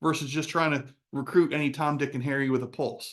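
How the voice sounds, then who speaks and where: A man talks while the background remains quiet. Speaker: real estate recruiting trainer. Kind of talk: webinar presentation. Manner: fast.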